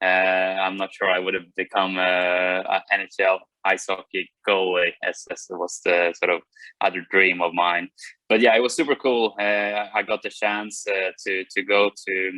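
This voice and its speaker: This man talks with a Swedish accent at a fairly slow pace. His very deep, low pitch stays monotone, with flat intonation. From Sweden. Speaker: racing driver. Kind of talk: interview.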